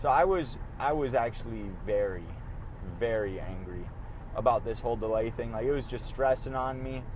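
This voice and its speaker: Moderate pace, ordinary pitch variation, and audible room echo. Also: man. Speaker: podcast host. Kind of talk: casual monologue while driving. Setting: in a car. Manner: halting, low energy.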